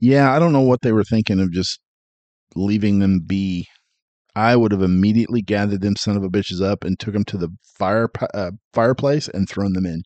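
A man with a normal speaking voice talks at a fairly quick pace, fairly low in pitch with ordinary pitch variation, in a dry, close sound with no echo. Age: 40s. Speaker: podcast co-host and editor. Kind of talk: casual chat.

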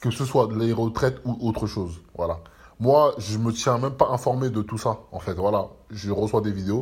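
In a very clean recording with a silent background, a man speaks at a moderate pace, his medium-pitched voice somewhat breathy and his pitch varying in an ordinary way. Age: 30s. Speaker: podcaster. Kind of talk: casual monologue. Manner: halting.

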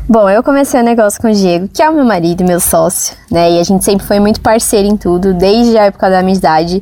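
A woman with a medium pitch speaks at a very fast pace with hardly any pauses, keeping her loudness very even and her pitch variation ordinary, over noticeable background noise. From Brazil, São Paulo. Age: 20s. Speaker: entrepreneur, shop owner. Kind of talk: interview testimony.

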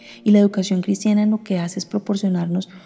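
A woman speaks at a medium pitch in a monotone, flat delivery. Noticeable background noise runs beneath her voice. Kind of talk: devotional reflection.

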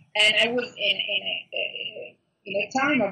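A woman with an Italian accent, at a moderate pace. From Italy, Milan. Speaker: food blogger and YouTuber. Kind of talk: interview. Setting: call.

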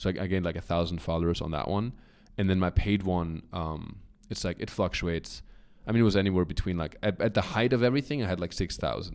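A man with a German accent talks at a very fast pace in a very deep, low voice with ordinary pitch variation. His tone is animated, and the recording is very clean with a silent background. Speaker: comedian and model. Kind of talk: casual interview chat.

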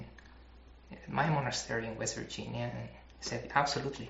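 A man is speaking. He has a Spanish accent. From Mexico (Mexico City). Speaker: chemist and former Buddhist monk. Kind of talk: interview. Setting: monastery.

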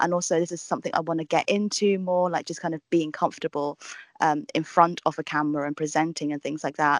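A woman talks at a very fast pace in a fairly low voice, with a southern English accent. The sound is dry and close with no echo, over a quiet background. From southern England. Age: 20s. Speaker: travel vlogger and TV presenter. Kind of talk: casual chat. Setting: video call.

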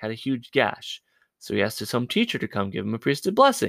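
This plain, everyday voice has lively intonation and a dry, close sound with no echo. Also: man. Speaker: podcast co-host. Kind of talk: casual chat about faith. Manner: laughs often, humorous.

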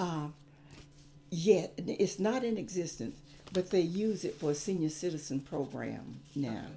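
A woman with a South Carolina accent talks at a moderate pace, fairly low in pitch, with lively intonation. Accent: Southern US (South Carolina). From US South, South Carolina upstate (Gaffney). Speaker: retired teacher. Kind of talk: interview. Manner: halting.

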